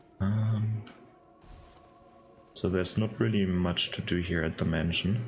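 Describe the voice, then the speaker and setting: Over music in the background, a man speaks at a fairly slow pace with long, frequent pauses. His fairly low pitch shows ordinary variation, and his loudness stays very even. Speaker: gaming YouTuber. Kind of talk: let's play commentary. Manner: halting.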